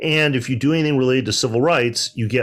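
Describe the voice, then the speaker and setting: On a very clean recording with a silent background, a man talks with a Midwestern American accent. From US Midwest, Detroit. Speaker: panelist, civil rights scholar. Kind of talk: panel discussion.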